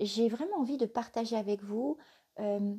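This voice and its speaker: The woman's voice has a dark, mellow tone and a fairly high pitch with ordinary pitch variation. She speaks at a fairly slow pace. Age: 50s. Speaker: spiritual life coach. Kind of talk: live stream talk. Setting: live video stream. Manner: hesitant, many fillers.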